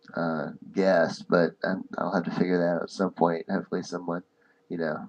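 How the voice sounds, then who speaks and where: A soft-spoken man. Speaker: podcast host. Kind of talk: casual chat. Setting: live stream.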